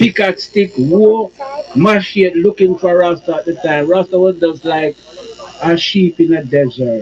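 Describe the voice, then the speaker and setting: Over noticeable background noise, a man with a high voice speaks fairly slowly with lively intonation. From Jamaica. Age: 60s. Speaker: survivor of persecution. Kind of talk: testimony.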